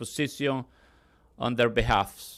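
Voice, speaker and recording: A man with a Spanish accent speaks at a fairly slow pace. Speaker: pastor. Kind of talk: prayer invocation. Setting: ceremony with audience. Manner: halting.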